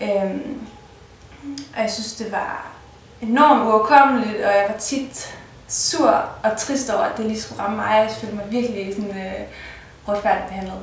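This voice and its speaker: At a fairly high pitch and a fairly slow pace, a woman speaks with fairly even intonation, big swings in loudness and long, frequent pauses, with audible room echo and noticeable background noise. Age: 20s. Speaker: patient telling her story. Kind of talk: personal testimony interview. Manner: halting, many filler sounds.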